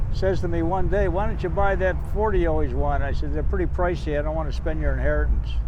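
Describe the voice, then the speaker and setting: Over noticeable background noise and audible room echo, a man with a very deep, low pitch and ordinary pitch variation talks at a very fast pace with hardly any pauses. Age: 80s+. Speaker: car owner, host's father. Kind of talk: casual interview chat.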